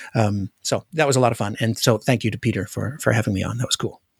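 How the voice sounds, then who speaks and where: At a very fast pace, a man speaks in a somewhat breathy voice with ordinary pitch variation, recorded dry and close with no echo on a very clean recording with a silent background. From Alaska. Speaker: podcast host. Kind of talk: casual chat.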